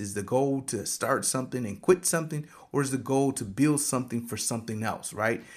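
At a fairly quick pace, a man with an American accent talks in an ordinary speaking voice at medium pitch, recorded very cleanly against a silent background. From Michigan. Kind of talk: casual solo talk with motivational teaching. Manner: conversational with frequent fillers.

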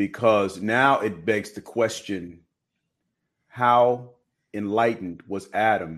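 Against a quiet background, a man with a normal speaking voice talks at a fairly slow pace, his pitch fairly low and his pitch variation ordinary. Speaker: faith-based co-host. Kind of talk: live-streamed discussion.

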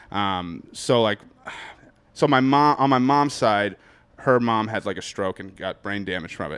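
With a Boston accent, a man talks at a moderate pace and ordinary pitch variation. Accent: New England (Boston). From New Hampshire, born in Boston. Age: 30s. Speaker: stand-up comedian. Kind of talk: casual chat.

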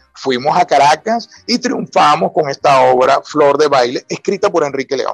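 Vocal fry runs through lively intonation delivered with hardly any pauses. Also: man, fairly high pitch for a man, moderate pace, very even loudness, dry, close sound with no echo. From Venezuela, Falcón (Paraguaná). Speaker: writer and university professor. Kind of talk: radio interview.

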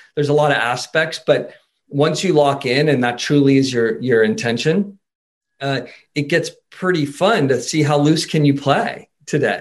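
At a moderate pace, a man talks in a plain, everyday voice, fairly high in pitch with ordinary pitch variation. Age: 50s. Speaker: sports psychology consultant. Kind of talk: casual chat.

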